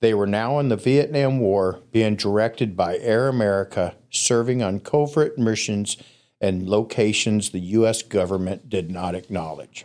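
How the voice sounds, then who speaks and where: A man's fairly low voice, an ordinary speaking voice at a moderate pace, on a very clean recording with a silent background. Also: ordinary pitch variation. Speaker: storyteller guest. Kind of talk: storytelling.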